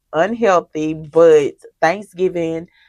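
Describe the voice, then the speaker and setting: Over a quiet background with a dry, close sound and no echo, a woman speaks very slowly in a Mississippi accent, her pitch fairly low. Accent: Southern US (Mississippi). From US South, Mississippi. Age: 30s. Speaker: budgeting vlogger. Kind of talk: casual chat. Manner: chatty, conversational.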